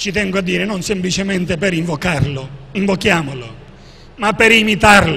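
Noticeable background noise and audible room echo surround a man speaking in a high voice with lively intonation. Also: moderate pace. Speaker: archbishop and author. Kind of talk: book presentation talk.

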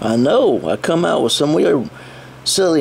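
A man is speaking. His pace is fairly slow. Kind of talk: casual toy review chat. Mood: playful, silly. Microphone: phone near.

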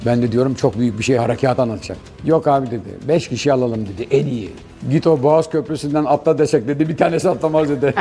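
A man speaks very fast in a fairly high voice with ordinary pitch variation. Noticeable background noise runs under him. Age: 70s. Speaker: retired special forces commando and parachutist. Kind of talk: interview answer.

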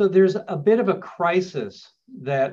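This man has a plain, everyday voice. He talks fairly slowly with lively intonation. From New York, raised partly in Los Angeles. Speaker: landlord attorney. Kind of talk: webinar lecture. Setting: Zoom webinar. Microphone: video call.

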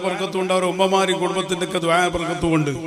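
A man speaks with a high pitch. The recording has audible room echo and noticeable background noise. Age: 50s. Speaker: Islamic preacher. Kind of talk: speech at a madrasa inauguration.

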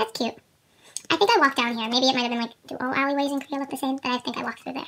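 The voice has an upbeat tone and moves at a very fast pace. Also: woman, high pitch for a woman. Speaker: fan unboxing merchandise. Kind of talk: casual unboxing talk to camera. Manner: upbeat, chatty. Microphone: phone near.

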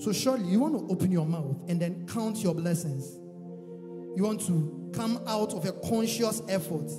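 Clear music plays behind a high-pitched man who speaks at a fairly slow pace. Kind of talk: sermon exhortation. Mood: reverent, encouraging. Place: church. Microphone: handheld.

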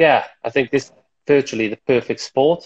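With a Welsh accent, a man speaks over a quiet background. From Wales. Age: 30s. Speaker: table tennis player and coach; coach. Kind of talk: casual interview chat. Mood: relaxed, reflective. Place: home room. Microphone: earbuds.

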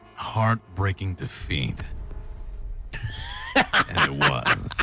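Over noticeable background noise, a man speaks very slowly in a dry sound with no echo. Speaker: voice actor. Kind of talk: casual gaming chat. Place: home room.

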